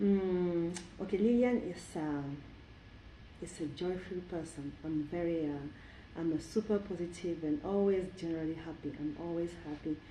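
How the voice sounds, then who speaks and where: Heard with audible room echo, a woman speaks at a moderate pace with ordinary pitch variation. Her pitch is fairly low and her tone dark and mellow. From Cameroon. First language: French. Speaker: cultural event organizer. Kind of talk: interview. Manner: halting.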